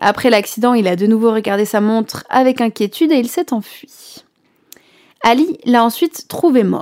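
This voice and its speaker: A woman's normal speaking voice, fairly high in pitch. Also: fairly slow pace. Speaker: radio host and storyteller. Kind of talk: scripted narration.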